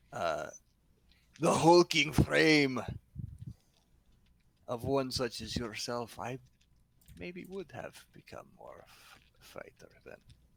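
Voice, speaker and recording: A man puts on a character voice at a medium pitch. He speaks at a fairly slow pace with long, frequent pauses. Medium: actual play. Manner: wordy, formal phrasing.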